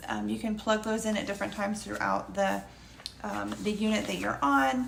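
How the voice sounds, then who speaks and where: A woman keeps a moderate pace while audible room echo and noticeable background noise surround her. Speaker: homeschool curriculum reviewer. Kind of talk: product review. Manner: hesitant, many fillers.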